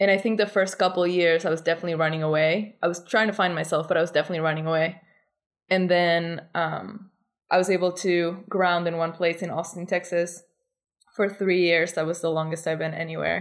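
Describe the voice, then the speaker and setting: A woman with a Spanish accent, fairly low pitch, fairly quick pace and flat, monotone intonation, on a very clean recording with a silent background. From Argentina. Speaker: artist. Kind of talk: interview.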